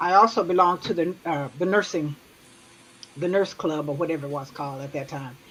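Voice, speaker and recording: Over noticeable background noise, a woman speaks at a fairly quick pace in a fairly low pitch, with ordinary pitch variation and big swings in loudness. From Tulsa, Oklahoma. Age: 70s. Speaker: retired nurse. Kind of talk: casual chat.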